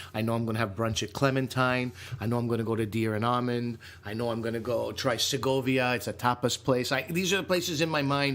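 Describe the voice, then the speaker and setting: Talking at a very fast pace with an animated tone, a man with a medium-pitched voice is heard over noticeable background noise. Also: ordinary pitch variation. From Canada. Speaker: comedian and podcast co-host. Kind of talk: casual chat.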